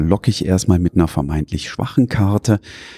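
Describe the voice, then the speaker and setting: A man speaks with a Rhineland accent and lively intonation. The sound is dry and close, without echo. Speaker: board game podcaster. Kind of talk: casual chat. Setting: on location at a press event.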